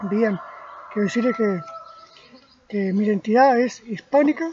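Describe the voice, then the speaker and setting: A man's high voice with ordinary pitch variation amid noticeable background noise. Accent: Uruguayan. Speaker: amateur history lecturer. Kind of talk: spoken history lecture from memory. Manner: slow, deliberate; halting, repeats words.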